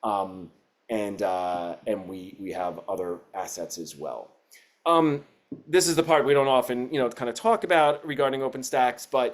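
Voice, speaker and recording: Here a man speaks at a medium pitch. His pitch swings very widely and his loudness shifts in big swings. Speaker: educational publisher representative. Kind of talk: webinar presentation. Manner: fast; many fillers and restarts.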